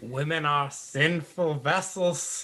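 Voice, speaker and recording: A man puts on a character voice. He pitches it fairly high. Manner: sanctimonious, declaiming.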